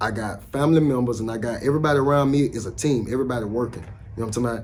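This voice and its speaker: Speaking at a very fast pace, a man with an American accent keeps to a medium pitch. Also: ordinary pitch variation. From US South, Alabama (Citronelle, north of Mobile). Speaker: rapper. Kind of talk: casual interview.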